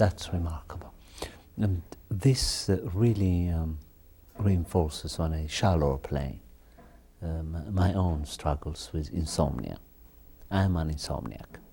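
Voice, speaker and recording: A man with a very deep, low pitch and a dark, mellow tone talks somewhat breathily at a fairly slow pace, leaving long, frequent pauses. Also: ordinary pitch variation. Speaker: TV interview host. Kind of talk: interview. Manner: halting.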